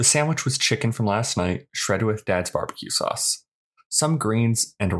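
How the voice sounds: In a natural reading voice with lively intonation, someone speaks against a quiet background.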